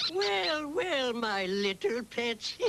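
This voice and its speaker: A cartoonish character voice at a fairly high pitch, over clear background noise. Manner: chuckling.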